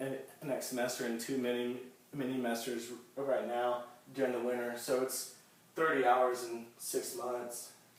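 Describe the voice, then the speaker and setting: A man at medium pitch and a fairly slow pace, with audible room echo and noticeable background noise. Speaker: university student and soldier. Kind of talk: class speech. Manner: halting, with repetitions and blocks.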